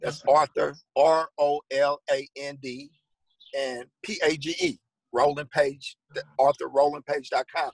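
A man with an American accent speaks at a very slow pace, with a fairly high pitch and monotone, flat intonation. His loudness swings widely, in a dry, close sound with no echo. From St. Louis, Missouri. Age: 50s. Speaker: author and former police officer. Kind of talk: interview.

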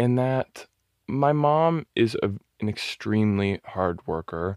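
Lively intonation marks a man with an ordinary speaking voice talking at a fairly slow pace, in a dry, close sound with no echo and on a very clean recording with a silent background. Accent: American. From Southern California, Orange County. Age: 20s. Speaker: model and visual artist. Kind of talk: interview conversation.

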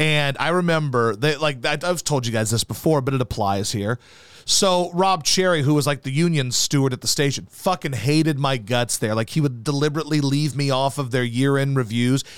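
On a very clean recording with a silent background, a man uses a normal speaking voice, fairly high in pitch with ordinary variation, at a fairly quick pace. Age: 30s. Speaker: sports radio host. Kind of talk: casual chat.

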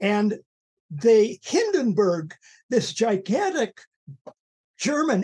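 A man with a Canadian accent speaks at a very slow pace, his high pitch swinging very widely. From Canada. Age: 80s+. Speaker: journalist and activist. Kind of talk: interview.

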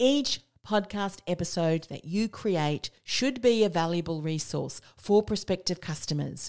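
The woman's fairly slow speech, with ordinary pitch variation, sits in a very clean recording with a silent background. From New Zealand. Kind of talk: solo podcast teaching monologue.

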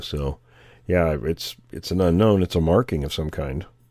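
A man speaks with a very deep, low voice and a dark, mellow tone. His pitch varies in an ordinary way, and the recording is very clean with a silent background. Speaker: podcast host and field researcher. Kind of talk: casual chat.

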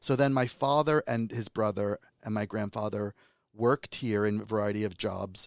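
The recording is very clean, its background silent. A man's voice sounds dry and close, free of echo. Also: fairly low pitch for a man, moderate pace. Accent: New Jersey. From New Jersey, US. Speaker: filmmaker. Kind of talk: interview.

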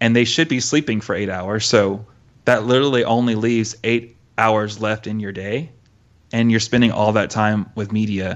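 A man talks in an unremarkable speaking voice at a fairly low pitch. His pace is moderate and his intonation fairly even. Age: 30s. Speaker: youth pastor and podcast host. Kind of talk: casual chat.

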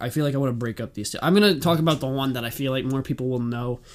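A man at a medium pitch, talking very fast with ordinary pitch variation. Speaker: podcast host. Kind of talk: casual podcast chat. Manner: fast talker.

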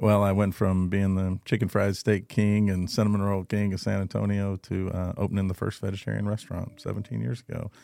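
A man with a Texan accent, fairly low in pitch, dark and mellow in tone, fairly quick with hardly any pauses, fairly even intonation, on a very clean recording with a silent background. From Texas, Cuero (rural South Texas). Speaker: chef and restaurant owner. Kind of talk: interview.

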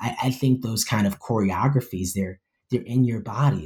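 A man with an American accent, medium pitch, lively intonation, a somewhat breathy quality and a moderate pace. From New York. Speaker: poet and professor. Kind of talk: interview.

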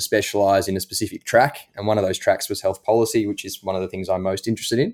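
A man speaks with an Australian accent. His pitch sits fairly low. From Australia, Melbourne. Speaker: medical doctor. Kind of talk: interview.

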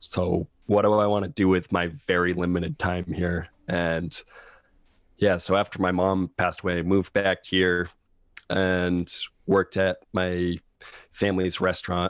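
Against a quiet background, a man speaks at a fairly slow pace in a very deep, low pitch with monotone, flat intonation, the sound dry and close with no echo. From New Hampshire, Laconia. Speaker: musician. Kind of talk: interview.

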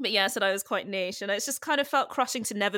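The voice shows ordinary pitch variation. The sound is dry and close with no echo, on a very clean recording with a silent background. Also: woman. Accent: London. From London. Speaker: comedian. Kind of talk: interview.

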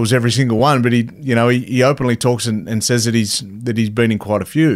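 This man talks in a medium pitch with an Australian accent. His pace is very fast. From Cowra, New South Wales, Australia. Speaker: former rugby league player and boxer, mental health advocate. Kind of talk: casual interview conversation.

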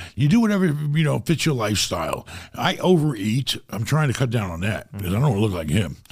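With a New York accent, a man talks very fast at a medium pitch, his voice showing vocal fry and very wide pitch swings. The recording is very clean, the background silent. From New York (Rockaway, Queens). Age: 50s. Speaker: real estate investor. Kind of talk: casual interview. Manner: animated.

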